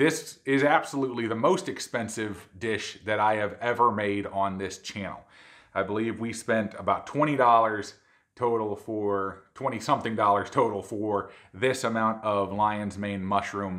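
A man's fairly low-pitched voice at a fairly slow pace, with ordinary pitch variation and a quiet background. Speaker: cooking channel host. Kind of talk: cooking show intro.

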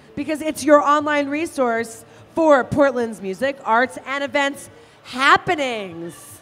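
Speaking at a fairly slow pace, a woman uses a high-pitched voice. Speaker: roller derby commentator. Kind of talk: live roller derby commentary with sponsor reads. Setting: live arena event. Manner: animated, chatty and playful, explains rules. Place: hall.

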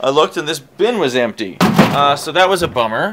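A man is speaking. Light background noise is audible. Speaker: vlogger. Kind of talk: casual vlog chat. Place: garage. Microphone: phone near.

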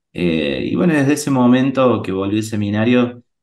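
A man with lively intonation, speaking at a fairly slow pace. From Argentina, Río Cuarto, Córdoba. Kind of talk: interview.

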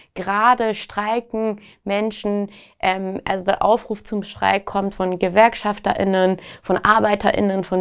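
A woman speaks at medium pitch with monotone, flat intonation. She goes at a very slow pace over a quiet background. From Iran, Tehran. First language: Persian (speaking German). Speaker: activist and writer. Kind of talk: interview answers. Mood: earnest, engaged. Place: studio.

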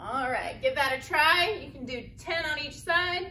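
A woman uses a raised, projected voice. Light background noise can be heard. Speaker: exercise instructor. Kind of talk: tutorial. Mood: friendly, upbeat. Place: gym. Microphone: camera far.

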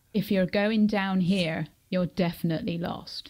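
Putting on a character voice with a strong Cornish accent, a female-sounding speaker talks at a moderate pace in a middle pitch. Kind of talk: interview answer. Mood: animated, humorous.

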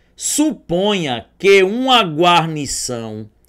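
A man's high, bright, sharp voice with very wide pitch swings, against a quiet background. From Sergipe, Brazil (Aracaju); Sergipe, Brazil. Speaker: math and logic teacher; logic teacher. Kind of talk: online exam-prep lecture. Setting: studio. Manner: animated. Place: studio.

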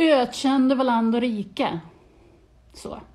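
This woman's voice has a dark, mellow tone. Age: 40s. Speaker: vlogger. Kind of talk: casual vlog monologue. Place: home room. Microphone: phone near.

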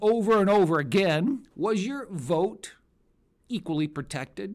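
A man talks at a fairly slow pace, his intonation lively, against a quiet background. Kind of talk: political rhetorical monologue.

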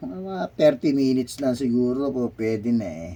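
A man speaks with a medium pitch. His pitch swings very widely. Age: 50s. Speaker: overseas Filipino worker vlogger. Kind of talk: casual vlog while exercising. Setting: bedroom.

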